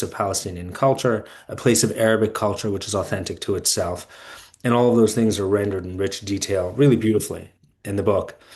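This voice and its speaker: This man has a normal speaking voice, pitched fairly low, with ordinary pitch variation. He talks at a fairly quick pace. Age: 40s. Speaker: podcast host and fellow. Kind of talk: podcast interview.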